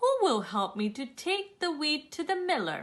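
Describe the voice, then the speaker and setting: Putting on a character voice, a woman speaks at a high pitch and a moderate pace. Her pitch swings very widely. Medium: read story. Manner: earnest, resolute.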